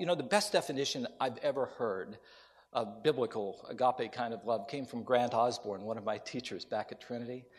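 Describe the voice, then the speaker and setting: Set against a quiet background, a normal speaking voice with an American accent proceeds at a moderate pace. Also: man. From US Appalachia (West Virginia). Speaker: preacher. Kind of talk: sermon. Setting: chapel with audience.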